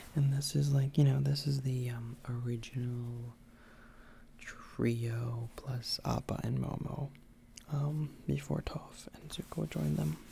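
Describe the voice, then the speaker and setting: Soft-spoken whispering at a very slow pace. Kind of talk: casual chatty show-and-tell to camera. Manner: whispered, soft-spoken.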